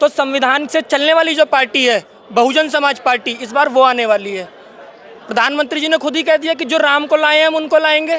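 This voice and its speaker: Over crowd noise in the background, a man speaks in a raised, projected voice at an extremely high pitch and a moderate pace. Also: ordinary pitch variation. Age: 30s. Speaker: political party worker. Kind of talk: interview.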